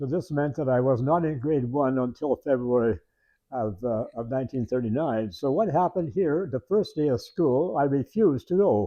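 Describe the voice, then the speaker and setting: A man with a Canadian Prairie accent talks at a moderate pace in a fairly high pitch, his intonation lively. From Canadian Prairies, rural Saskatchewan. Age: 90s. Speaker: retired teacher telling his life story. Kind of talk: oral history interview. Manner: halting, many repetitions and fillers.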